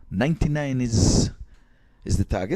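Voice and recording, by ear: In a dark, mellow tone, a man speaks at a medium pitch and moderate pace with lively intonation.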